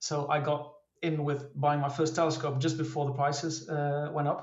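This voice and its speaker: With a Dutch accent, a man speaks at a moderate pace and fairly high pitch in a flat monotone, with audible room echo. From Netherlands. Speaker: amateur astrophotographer. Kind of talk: casual interview. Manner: hesitant, many fillers.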